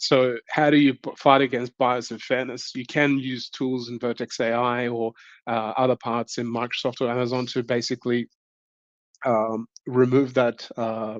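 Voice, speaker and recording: Speaking in an Australian accent, a man at medium pitch keeps a moderate pace and a monotone, flat intonation against a quiet background. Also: dry, close sound with no echo. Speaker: tech conference speaker. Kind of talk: online tech talk. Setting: virtual event. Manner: hesitant, many fillers.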